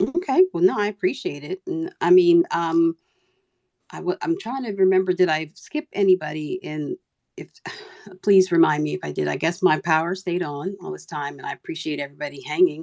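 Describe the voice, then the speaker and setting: A woman talks at a fairly quick pace with big swings in loudness, the sound dry and close with no echo. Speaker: Twitter Spaces host. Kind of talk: casual chat. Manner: rambling, hesitant.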